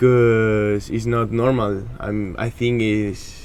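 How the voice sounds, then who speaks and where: Very slowly and in a flat monotone, a man speaks at a fairly low pitch. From Spain. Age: 20s. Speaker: American football player. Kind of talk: interview. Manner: halting.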